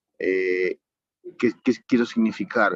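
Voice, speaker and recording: Here a man is talking. He goes at a very slow pace. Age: 70s. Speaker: incarcerated student. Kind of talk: audience comment in online class. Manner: halting, with fillers.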